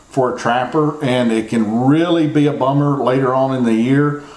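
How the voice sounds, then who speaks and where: Audible room echo surrounds a man with an American accent, his medium pitch showing ordinary pitch variation. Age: 40s. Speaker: trapping podcast host. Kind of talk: instructional talk. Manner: casual, repetitive phrasing.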